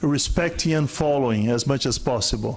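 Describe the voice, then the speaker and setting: A man's pitch varies in an ordinary way while audible room echo surrounds his voice. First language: not English. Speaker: conference speaker on lean management. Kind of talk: conference Q&A.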